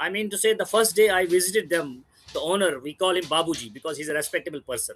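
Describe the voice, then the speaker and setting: A man's high-pitched voice with ordinary pitch variation at a very fast pace. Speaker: aquarium consultant. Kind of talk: interview.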